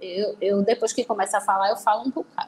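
A woman talks over noticeable background noise. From Recife, Pernambuco, Brazil. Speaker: criminal lawyer. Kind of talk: casual interview.

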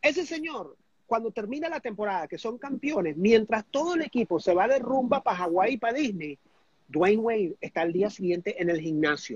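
A voice with very wide pitch swings, speaking at a fairly quick pace. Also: man, high pitch for a man. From Venezuela. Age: 60s. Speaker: life coach trainer. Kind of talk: interview.

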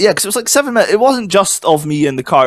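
A man speaks with a Scottish accent and lively intonation. The sound is dry and close, with no echo. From Scotland. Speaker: podcast co-host. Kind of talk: casual chat.

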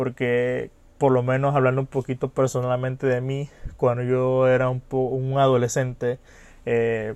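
Against a quiet background, a man speaks at a fairly slow pace in a monotone, flat way. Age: 20s. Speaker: podcaster and psychology student. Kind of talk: casual monologue. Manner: hesitant, many fillers.

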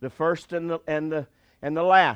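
A man talks at a very fast pace in an animated tone. The background is quiet. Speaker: pastor. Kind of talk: sermon. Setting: church with live congregation. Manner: animated, call-and-response preaching, urging the congregation to say amen.

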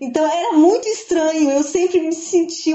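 A woman with an extremely high pitch. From interior of Rio Grande do Sul, Brazil. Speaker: literature professor. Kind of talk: podcast interview. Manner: halting.

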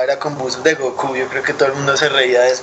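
A man's fairly high voice in a flat monotone at a fairly quick pace, with noticeable background noise. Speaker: punk musician. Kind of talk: casual chat.

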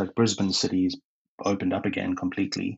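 Speaking at a fairly quick pace, a man with fairly low pitch keeps a monotone, flat intonation. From South Africa, Cape Town. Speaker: hotel industry professional. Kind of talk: interview.

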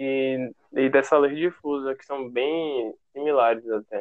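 A man's fairly high voice, very slow in pace, with fairly even intonation. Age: 20s. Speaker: photographer. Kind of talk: interview.

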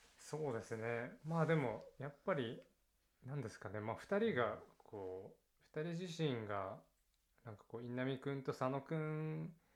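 A man with a normal speaking voice talks at a fairly slow pace, his fairly high pitch carried by lively intonation. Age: 20s. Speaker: university alumnus. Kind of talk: casual chat.

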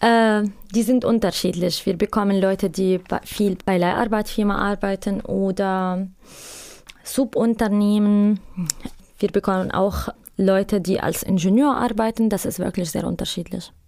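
With an Arabic accent, a woman speaks at a medium pitch and fairly slow pace, leaving long, frequent pauses. Her tone is dark and mellow, and her intonation fairly even. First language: Arabic (speaking German). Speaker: migrant labor counselor. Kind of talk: interview. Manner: halting.

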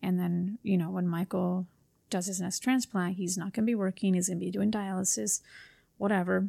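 In a very clean recording with a silent background and a dry, close sound with no echo, a woman speaks fairly quickly at medium pitch in a monotone, flat intonation with a dark, mellow tone. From Los Angeles area, California (Whittier). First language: Spanish. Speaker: real estate agent. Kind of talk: casual interview.

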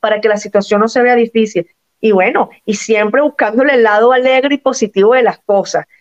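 A woman with an ordinary speaking voice talks at a fairly quick pace, her pitch fairly high, her intonation fairly even and her loudness very even. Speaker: Venezuelan migrant guest. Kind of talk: interview.

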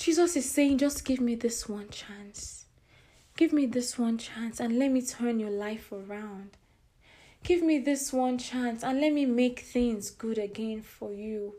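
A woman speaks at a fairly slow pace and a high pitch, with a dark, mellow tone and ordinary pitch variation. Audible room echo surrounds her voice. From Nigeria. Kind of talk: devotional sermon.

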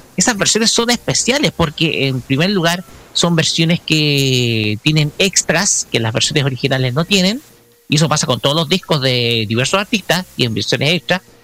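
A man speaks at a fairly high pitch with lively intonation. The sound is dry and close with no echo, with noticeable background noise. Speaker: radio host. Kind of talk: casual chat.

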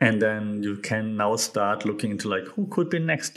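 A man talks with a German accent at a moderate pace. His pitch is fairly low, with ordinary variation. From Germany. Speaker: podcast host. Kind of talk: solo commentary on media and communication. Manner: casual, repetitive with frequent fillers.

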